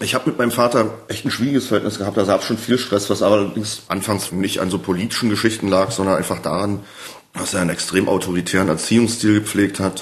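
At a fast pace, a man talks with fairly even intonation. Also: fairly low pitch for a man.

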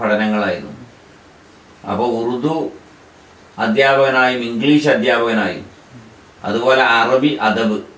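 A man talks with ordinary pitch variation and very even loudness, amid audible room echo and noticeable background noise. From Kerala, Malappuram. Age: 60s. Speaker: Islamic scholar. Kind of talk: interview.

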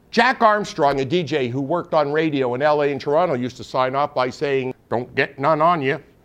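A man is speaking. He goes at a moderate pace. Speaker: comedic web show host. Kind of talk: comedic rant monologue. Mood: sarcastic comic indignation. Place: studio. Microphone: lapel.

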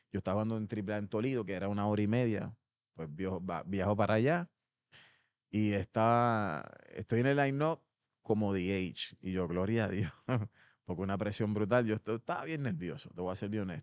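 Against a quiet background, a man with a fairly low pitch speaks with long, frequent pauses in a dry sound with no echo. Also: ordinary pitch variation, moderate pace. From Puerto Rico, Ponce; Puerto Rico. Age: 50s. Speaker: former pro baseball player; podcast guest. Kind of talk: interview. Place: gym. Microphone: studio mic.

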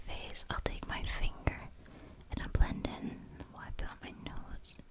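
Fairly slow whispering from a woman. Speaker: ASMR creator. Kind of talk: ASMR personal attention roleplay. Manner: whispered. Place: home room. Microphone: studio mic.

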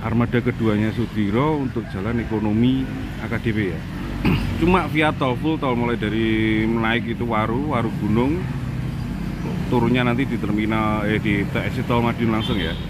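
A man's voice at a moderate pace with ordinary pitch variation, dry with no echo, under loud background noise. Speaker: bus enthusiast vlogger. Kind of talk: casual vlog commentary. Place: street. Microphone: phone near.

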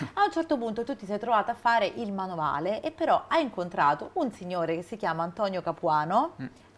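At a very fast pace, a woman talks with very wide pitch swings. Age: 40s. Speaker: TV presenter. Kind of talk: TV interview; scripted intro. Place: studio. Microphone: lapel.

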